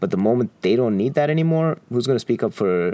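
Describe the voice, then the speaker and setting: Against a quiet background, a man with a dark, mellow tone and a medium pitch makes very wide pitch swings. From Qatar, Indian expatriate community. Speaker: podcast co-host, software developer. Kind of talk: casual chat. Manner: halting, many fillers.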